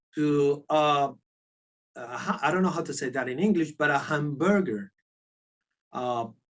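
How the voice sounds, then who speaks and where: A man with a Spanish accent speaks at a fairly slow pace in a fairly high pitch, with ordinary pitch variation and long, frequent pauses. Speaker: sculptor and concept artist. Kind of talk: casual interview chat. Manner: halting; animated.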